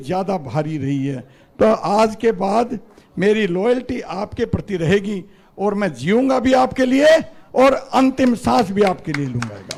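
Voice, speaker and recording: A man's high-pitched voice with lively intonation, set against noticeable background noise. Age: 60s. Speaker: politician. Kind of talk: political speech. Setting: party headquarters event with audience.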